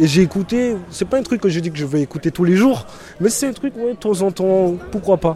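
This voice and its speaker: A high-pitched man with lively intonation at a moderate pace, over noticeable background noise. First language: English (speaking French). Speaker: prison inmate. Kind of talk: interview.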